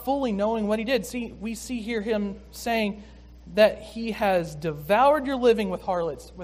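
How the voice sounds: What we hear is a natural reading voice.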